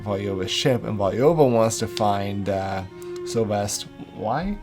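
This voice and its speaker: Music plays in the background while a man talks at a fairly low pitch. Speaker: podcast co-host. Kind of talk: casual podcast talk recapping a novel.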